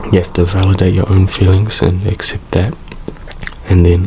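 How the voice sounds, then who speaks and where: Over noticeable background noise, a man with a very deep, low pitch talks at a moderate pace. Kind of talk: ASMR soft spoken comfort talk to camera. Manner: soft-spoken, relaxed, calm.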